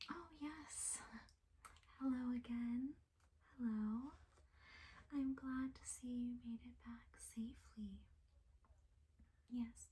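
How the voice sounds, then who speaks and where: Soft-spoken, a woman talks at a very slow pace with long, frequent pauses and big swings in loudness. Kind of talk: ASMR roleplay for sleep, librarian talking to the listener.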